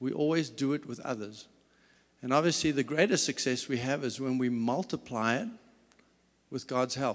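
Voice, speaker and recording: A man with a South African accent speaks at a moderate pace and medium pitch, with ordinary pitch variation and long, frequent pauses. The recording is very clean, with a silent background. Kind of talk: talk. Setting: stage with audience.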